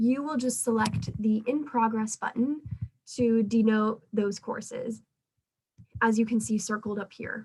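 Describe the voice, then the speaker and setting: A woman's somewhat breathy, fairly high voice, fairly even in intonation and fairly slow in pace. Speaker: pre-dental student club officer. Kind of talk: club meeting presentation.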